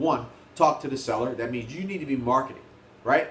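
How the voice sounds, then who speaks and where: A man's words come fairly fast. Noise is noticeable behind him. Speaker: real estate investor and negotiation trainer. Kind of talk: motivational business talk to camera. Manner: animated.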